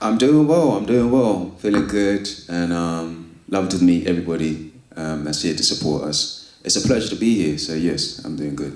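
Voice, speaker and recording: With a London accent, a man talks at a moderate pace with hardly any pauses, his very deep, low voice showing ordinary pitch variation. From East London. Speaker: spoken word poet and author. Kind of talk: interview answer. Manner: casual, reflective.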